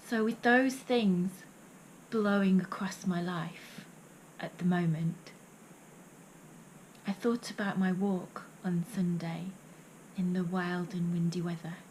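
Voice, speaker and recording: A woman speaks at a very slow pace with long, frequent pauses. Noticeable background noise is present. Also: medium pitch for a woman, fairly even intonation. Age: 50s. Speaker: poet and vlogger. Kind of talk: reading aloud; vlog monologue.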